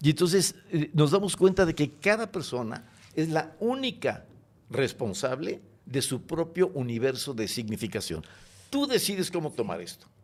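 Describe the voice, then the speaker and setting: A man's fairly high voice with vocal fry and very wide pitch swings, on a very clean recording with a silent background. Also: moderate pace. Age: 70s. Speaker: educator, creator of a teaching method. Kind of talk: interview. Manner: expressive, affectionate.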